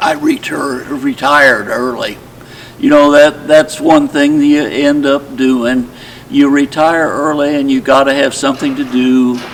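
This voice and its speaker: Over noticeable background noise, a man with a fairly high pitch talks at a fairly slow pace in a monotone, flat intonation. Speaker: retired professional storyteller, retirement community resident. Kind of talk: casual talk to camera, personal introduction.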